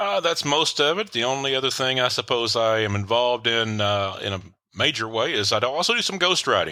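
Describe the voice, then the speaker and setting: On a very clean recording with a silent background, a man with a Tennessee accent talks at a fairly quick pace and medium pitch, his tone bright and sharp and his intonation lively. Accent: Southern US (Tennessee). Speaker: author and relationship coach. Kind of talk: podcast interview. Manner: hesitant, frequent filler words.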